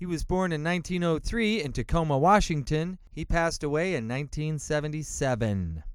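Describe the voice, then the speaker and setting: A man with an American accent and a plain, everyday voice speaks at a fairly slow pace with hardly any pauses and lively intonation. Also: fairly high pitch for a man. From US Upper Midwest (Iowa). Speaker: podcast host and DJ. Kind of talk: radio-style song introductions. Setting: home studio.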